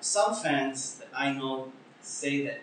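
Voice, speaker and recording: A man with an Israeli accent speaks at a fairly high pitch with lively intonation. There is audible room echo and noticeable background noise. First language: Hebrew. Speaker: podcast host. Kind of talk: interview; casual chat.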